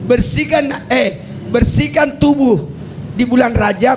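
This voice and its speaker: Noticeable background noise and audible room echo surround the voice. A man speaks very slowly at an extremely high pitch. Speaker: Islamic preacher. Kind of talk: religious lecture. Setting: venue by the roadside with live audience.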